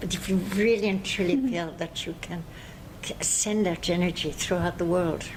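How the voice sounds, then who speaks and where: A woman's fairly low voice moves at a moderate pace, its pitch varying in an ordinary way, with noticeable noise in the background. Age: 90s. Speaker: yoga teacher. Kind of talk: interview answer.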